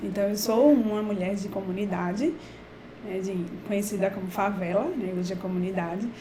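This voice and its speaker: Amid noticeable background noise and audible room echo, a woman of medium pitch speaks in a Pernambuco accent. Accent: Brazilian Portuguese, Pernambuco. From Brazil, Recife (Pernambuco). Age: 40s. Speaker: professor. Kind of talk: talk for students.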